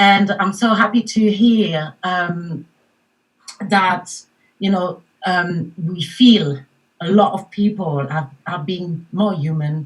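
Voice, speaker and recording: A woman's medium-pitched voice with a French accent, very slow and full of long, frequent pauses, with ordinary pitch variation. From France, Paris. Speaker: mindfulness coach. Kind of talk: panel discussion.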